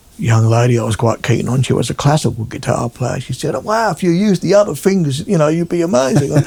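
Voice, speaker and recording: Over noticeable background noise, a man with an Australian accent talks fairly quickly with lively intonation. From South Australia (Adelaide), born in England. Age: 70s. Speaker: guitarist. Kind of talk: casual chat. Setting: at his home.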